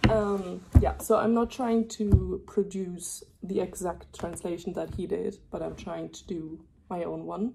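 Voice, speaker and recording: A woman with a German accent talks at a fairly slow pace with hardly any pauses and big swings in loudness. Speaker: student vlogger. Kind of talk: casual vlog narration. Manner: hesitant with many fillers.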